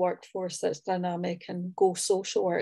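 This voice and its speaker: Over a quiet background, a woman with a Scottish accent speaks at a medium pitch in a dark, mellow tone. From Scotland. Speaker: social work academic. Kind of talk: panel discussion.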